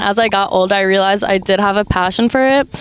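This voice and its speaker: At a fairly quick pace, a woman with an Armenian accent speaks at a fairly high pitch over noticeable background noise. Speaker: aspiring model. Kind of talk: interview.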